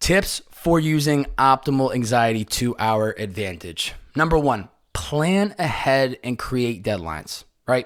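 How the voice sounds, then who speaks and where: A man with an energetic tone moves through very wide pitch swings at a fairly slow pace, on a very clean recording with a silent background. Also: medium pitch for a man. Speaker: podcast host. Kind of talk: solo podcast monologue. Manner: casual, energetic.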